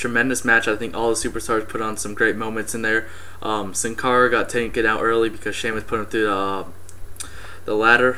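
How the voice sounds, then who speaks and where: A fairly quick, monotone, flat delivery with audible room echo and noticeable background noise. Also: man, medium pitch for a man. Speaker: wrestling fan vlogger. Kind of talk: casual event review. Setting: webcam recording at home. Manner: fast; hesitant, many fillers.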